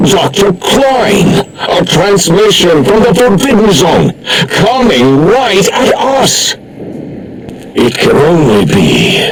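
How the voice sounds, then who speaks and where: Through loud background noise, a man does a put-on character voice at a high pitch and a very slow pace. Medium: machinima. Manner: pompous, rambling.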